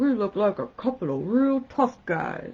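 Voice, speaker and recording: A put-on character voice, female-sounding and fairly high in pitch. It comes across gruff. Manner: tough, gruff.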